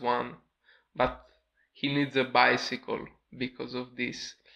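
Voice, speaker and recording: Against a quiet background, a man with a medium-pitched voice and a bright, sharp tone speaks at a fairly slow pace with monotone, flat intonation. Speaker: YouTube film reviewer. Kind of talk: casual talk to camera.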